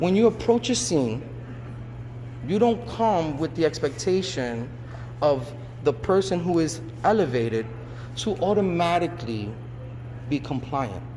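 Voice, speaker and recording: A loud man's voice, fairly high in pitch, with very wide pitch swings, long, frequent pauses and noticeable background noise. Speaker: civilian filing police complaint. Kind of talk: complaint conversation.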